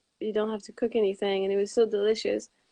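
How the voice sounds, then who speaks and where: Recorded dry and close with no echo, a woman speaks at a fairly high pitch with a Quebec accent. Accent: French Canadian accent in English. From Quebec, Montreal. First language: Quebec French. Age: 20s. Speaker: raw vegan author. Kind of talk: interview.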